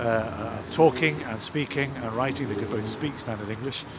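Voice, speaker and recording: A man talks fairly quickly with ordinary pitch variation, his voice carrying audible room echo amid noticeable background noise. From Scotland (Ayrshire). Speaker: vicar. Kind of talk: vlog, casual talk to camera. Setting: outdoors. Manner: hesitant, many fillers.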